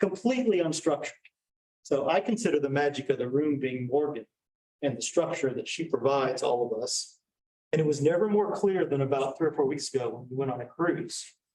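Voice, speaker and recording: Speaking fairly quickly, a man uses a fairly high pitch with ordinary variation. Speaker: real estate agent on a team. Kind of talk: panel discussion. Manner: fast.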